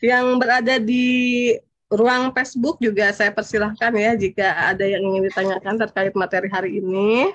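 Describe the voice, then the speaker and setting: At a moderate pace, a woman speaks with fairly high pitch and fairly even intonation. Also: very even loudness. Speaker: event moderator. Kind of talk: moderating online study session.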